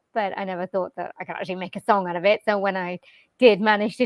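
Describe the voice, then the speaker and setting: Speaking with a Welsh accent, a woman goes at a very fast pace. Her pitch is medium and her intonation fairly even. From Wales, UK. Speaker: jazz vocalist and voice-over artist. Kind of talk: interview answer. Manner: casual, conversational.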